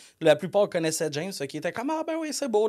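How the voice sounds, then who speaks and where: This man talks at a very fast pace with a Quebec accent. His intonation is lively. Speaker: software company co-owner. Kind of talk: casual podcast interview. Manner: loud.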